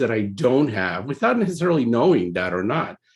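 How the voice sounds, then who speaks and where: With a Spanish accent, a man talks at a fairly quick pace, his pitch swinging very widely. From Puerto Rico. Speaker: computer science professor. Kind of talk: presentation. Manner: halting, many fillers.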